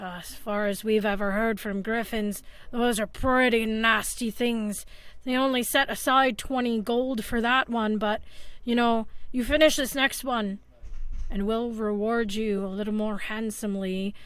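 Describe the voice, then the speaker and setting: A woman speaks at a moderate pace in a put-on character voice with a fairly high pitch. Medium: actual play. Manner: chatty, folksy.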